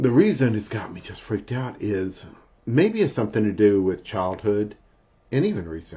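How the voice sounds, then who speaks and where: Somewhat breathy, a man speaks at a moderate pace. His pitch is fairly low, with ordinary variation. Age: 50s. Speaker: spiritual vlogger. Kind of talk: personal video diary. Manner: halting, many fillers; interrupted by hiccups.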